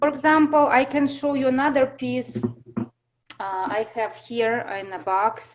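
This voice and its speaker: A fairly slow pace with long, frequent pauses and ordinary pitch variation. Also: woman, high pitch for a woman. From Russia. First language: Russian. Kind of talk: interview. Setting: live video stream. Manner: halting.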